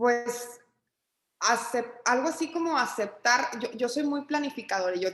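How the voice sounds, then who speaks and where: Delivered at a moderate pace, an ordinary speaking voice carries ordinary pitch variation. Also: woman. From Mexico, Torreón, Coahuila. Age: 30s. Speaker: entrepreneur and business consultant. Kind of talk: casual interview conversation.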